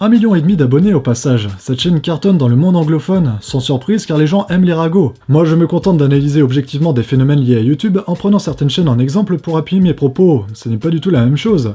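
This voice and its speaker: A man speaks very fast with hardly any pauses, his voice fairly high and somewhat breathy. His tone is dark and mellow, and his intonation is lively. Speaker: YouTuber answering viewer questions. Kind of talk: viewer Q&A monologue.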